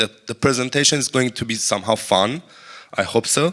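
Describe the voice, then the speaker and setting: Speaking at a moderate pace, a man has a bright, sharp tone. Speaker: network engineer presenter. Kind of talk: technical conference presentation. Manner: halting.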